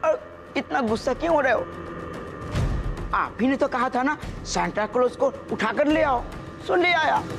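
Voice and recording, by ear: A man puts on a character voice at an extremely high pitch, with vocal fry, a fairly bright tone, and lively intonation, moving at a fairly slow pace over faint background music.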